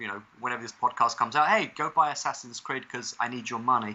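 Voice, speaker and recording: A man with an English accent and fairly even intonation. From London, England. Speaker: climbing hold reviewer and video game designer. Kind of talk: podcast interview.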